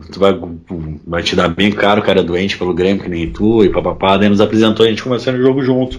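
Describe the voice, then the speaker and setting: A very deep, low male voice with lively intonation. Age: 30s. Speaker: football fan. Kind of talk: casual chat.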